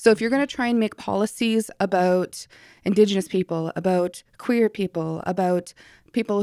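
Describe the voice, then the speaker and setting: A woman at medium pitch, moderate pace and ordinary pitch variation. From northern Ontario First Nation, Canada. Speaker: mature medical student, former military medic. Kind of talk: casual interview chat. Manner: energetic.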